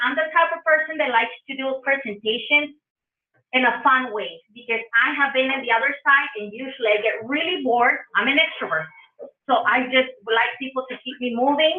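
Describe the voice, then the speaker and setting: A woman speaks with a strong Spanish accent. Her pitch is high. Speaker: public health trainer. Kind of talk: conference presentation. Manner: animated.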